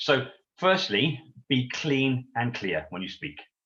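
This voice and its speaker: Loud and with an English accent, a man speaks at a medium pitch. His tone is bright and sharp. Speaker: sales trainer. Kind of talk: interview Q&A. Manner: animated.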